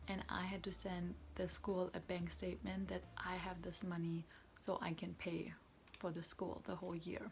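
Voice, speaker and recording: A woman with a German accent at a moderate pace. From Germany. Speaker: student vlogger. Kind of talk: tutorial. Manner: casual.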